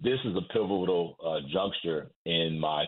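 With an American accent, a man speaks in a very deep, low voice and fairly even intonation. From Birmingham, Alabama, then Inglewood, California. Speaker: attorney. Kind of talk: radio interview.

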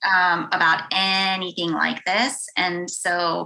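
An American accent is heard. It belongs to a woman. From Western Pennsylvania. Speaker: university director of belonging. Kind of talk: casual interview chat.

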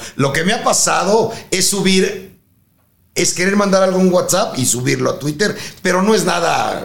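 Speaking with a Mexican accent, a man talks at a moderate pace in a high voice with ordinary pitch variation, and audible room echo surrounds him. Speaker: retired airline pilot. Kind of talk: anecdotal storytelling.

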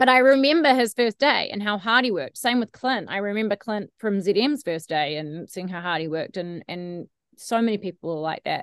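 Speaking fast with hardly any pauses, a woman with a New Zealand accent uses lively intonation at a medium pitch, her sound dry and close with no echo against a quiet background. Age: 30s. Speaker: radio host. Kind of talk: casual interview chat.

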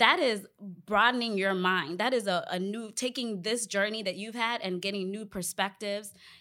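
A woman speaks at a moderate pace with a medium pitch and ordinary pitch variation. It's a normal speaking voice on a very clean recording with a silent background. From Northern Virginia, US (born in Ghana). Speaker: leadership development professional, event organizer. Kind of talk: casual group conversation.

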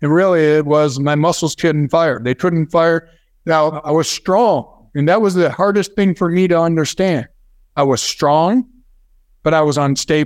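A man's unremarkable speaking voice at fairly high pitch and moderate pace, with ordinary pitch variation, very even loudness and a very clean recording with a silent background. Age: 50s. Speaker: neuromuscular therapy founder. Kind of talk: interview.

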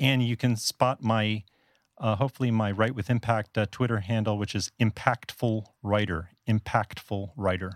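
With an American accent and an ordinary speaking voice, a man at a fairly low pitch talks at a moderate pace with fairly even intonation, in a dry, close sound with no echo on a very clean recording with a silent background. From US South Florida. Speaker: blogger and podcaster. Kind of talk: podcast interview.

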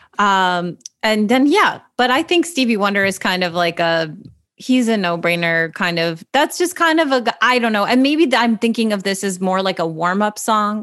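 A woman's fairly high voice at a moderate pace, on a very clean recording with a silent background. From US Midwest. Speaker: comedian and actor. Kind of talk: casual chat.

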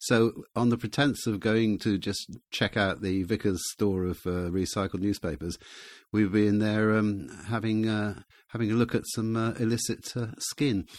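The speaker has a southern English accent and a moderate pace with fairly even intonation. The recording is very clean, with a silent background. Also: man, fairly low pitch for a man. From England, Gloucestershire. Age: 70s. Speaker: author. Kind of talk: casual chat. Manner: halting.

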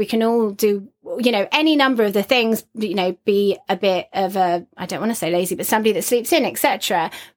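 In a plain, everyday voice, a woman talks at a fairly quick pace with a fairly high pitch and ordinary pitch variation. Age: 30s. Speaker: podcast co-host. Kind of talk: casual chat.

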